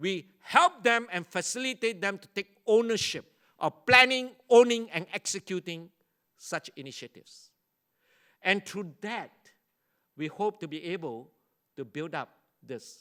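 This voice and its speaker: A man speaks in a raised, projected voice, high in pitch and bright and sharp in tone. He goes fairly slowly, with long, frequent pauses and big swings in loudness, in a dry, close sound with no echo. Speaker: university leader and education speaker. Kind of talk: conference keynote lecture.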